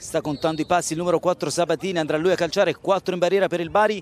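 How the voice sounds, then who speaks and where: A man talks at a fairly quick pace with a high pitch. His tone is animated. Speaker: football commentator. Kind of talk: live sports commentary. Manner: rapid-fire, breathless play-by-play; animated, rising on goals.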